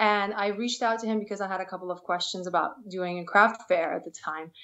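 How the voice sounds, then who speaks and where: Someone with a Russian accent talks at a very fast pace with fairly even intonation. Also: woman. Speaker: podcast guest, small business owner.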